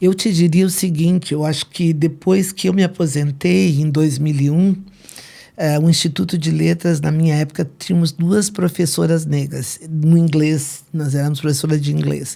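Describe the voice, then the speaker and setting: At a moderate pace, a woman speaks with a very deep, low pitch, a dark, mellow tone and ordinary pitch variation. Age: 70s. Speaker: retired English professor. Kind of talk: interview.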